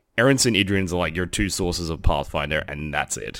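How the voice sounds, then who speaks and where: On a very clean recording with a silent background, a man with an Australian accent talks at a fairly quick pace with lively intonation. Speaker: tabletop wargame player and podcaster. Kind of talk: casual interview.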